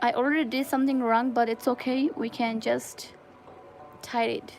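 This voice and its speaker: This woman speaks with a Nepali accent and a high pitch. Her pace is moderate and her pitch variation ordinary. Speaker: crochet livestreamer. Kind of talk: casual livestream chat.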